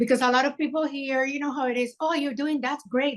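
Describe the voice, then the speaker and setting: A woman with a high pitch at a fairly quick pace. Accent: Puerto Rican. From Puerto Rico. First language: Spanish. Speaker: filmmaker. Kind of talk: interview. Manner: animated.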